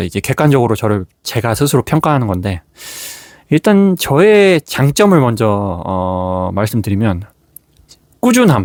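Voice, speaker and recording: A man speaks at a very slow pace. His pitch makes very wide swings. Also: dry, close sound with no echo. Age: 40s. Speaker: gratitude journal YouTuber. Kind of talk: casual talk to camera.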